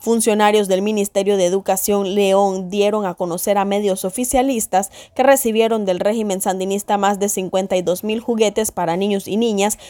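In a normal speaking voice, a woman talks at medium pitch and a moderate pace, her intonation fairly even. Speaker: news presenter. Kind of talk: news reading. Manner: formal.

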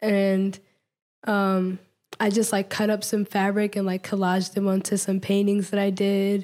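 The speaker has an American accent and a dark, mellow tone, with monotone, flat intonation at a moderate pace. Loudness stays very even in a very clean recording with a silent background. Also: woman, medium pitch for a woman. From Washington DC. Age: 20s. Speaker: artist. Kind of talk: casual interview.

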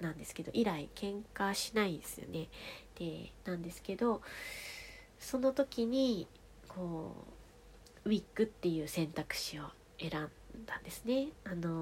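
A woman talks at a fairly slow pace in a calm, relaxed, somewhat breathy tone with a fairly low pitch and long, frequent pauses. Her intonation is lively, and her loudness swings widely. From Tohoku, Japan (Fukushima, then Aomori). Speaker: podcast storyteller. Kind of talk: bedtime monologue. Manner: soft-spoken.

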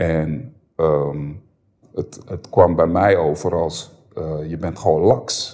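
The man's voice is very deep and low, with a dark, mellow tone. He speaks at a very slow pace with ordinary pitch variation. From Amsterdam Bijlmer, Netherlands. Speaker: former rapper, podcast guest. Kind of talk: casual interview, personal story. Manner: hesitant, many repetitions.

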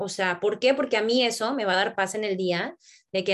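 A woman with a plain, everyday voice talks at a fairly quick pace in a fairly high pitch. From Mexico, Tampico, Tamaulipas. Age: 20s. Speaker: MBA student and habits group leader. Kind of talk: casual chat.

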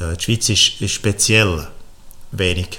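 A man's voice over noticeable background noise. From Switzerland, Frutigen (Bernese Oberland). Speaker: agronomist and entrepreneur. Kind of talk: interview.

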